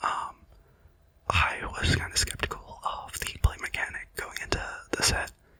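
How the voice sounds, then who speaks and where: Whispering at a moderate pace with long, frequent pauses, the voice sits against noticeable background noise. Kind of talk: casual ASMR card-opening commentary talking through each card. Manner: whispered, soft-spoken; hesitant, rambling, with frequent filler words.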